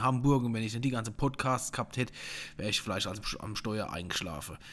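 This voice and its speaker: Talking at a very fast pace in a Palatine accent, a man uses a medium pitch, ordinary pitch variation and an animated tone on a very clean recording with a silent background. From Palatinate, Germany (Rupertsberg). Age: 40s. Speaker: podcast host, wine sales and marketing. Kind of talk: casual chat. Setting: living room.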